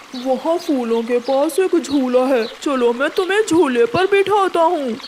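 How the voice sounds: A woman's cartoonish character voice at a fairly slow pace amid clear background noise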